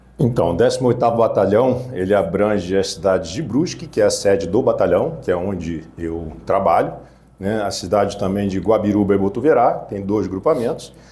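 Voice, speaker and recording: With a fairly low pitch and a dark, mellow tone, a man speaks at a moderate pace, somewhat breathy. His intonation is lively, and audible room echo surrounds him. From Rio de Janeiro, West Zone. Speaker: police commander. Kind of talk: interview. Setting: studio.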